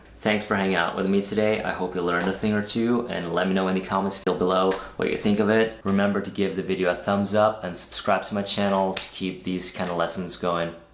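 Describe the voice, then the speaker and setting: A man's very deep, low, monotone, flat voice at a very fast pace, with audible room echo and noticeable background noise. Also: hardly any pauses. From Norway. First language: Norwegian. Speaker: guitarist and guitar teacher. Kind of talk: tutorial. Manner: casual, conversational.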